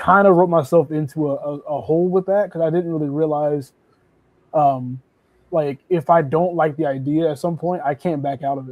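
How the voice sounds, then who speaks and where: A man's normal speaking voice, fairly high in pitch, at a moderate pace with fairly even intonation. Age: 30s. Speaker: indie comic book creator. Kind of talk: casual chat.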